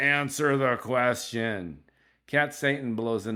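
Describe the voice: Plain reading aloud comes through with fairly even intonation.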